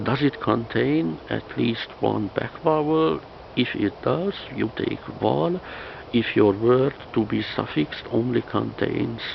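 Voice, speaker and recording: Over noticeable background noise, a man talks at a very slow pace with a Hungarian accent. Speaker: language teacher. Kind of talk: tutorial. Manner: halting, many fillers and repetitions.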